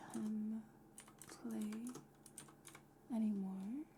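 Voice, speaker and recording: Soft-spoken, very slow whispering over noticeable background noise. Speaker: VTuber streamer. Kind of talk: casual talk to camera. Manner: whispered, soft-spoken.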